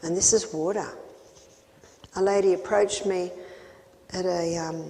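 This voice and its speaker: A woman at a medium pitch, with noticeable background noise. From Australia. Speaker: health educator. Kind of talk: health seminar talk.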